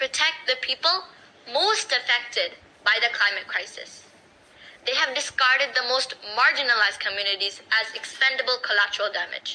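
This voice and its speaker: A woman projects a raised, high-pitched voice. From Bangladesh. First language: Bangla. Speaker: youth climate activist. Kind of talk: speech. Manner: impassioned.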